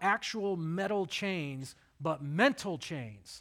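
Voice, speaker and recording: A bright, sharp tone with lively intonation comes through on a very clean recording with a silent background. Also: man. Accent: slight Southern US. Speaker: pastor. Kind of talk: sermon. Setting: church.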